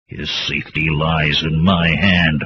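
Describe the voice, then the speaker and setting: Putting on a growling character voice, a man speaks fairly slowly at a very deep, low pitch in a flat monotone. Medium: read story.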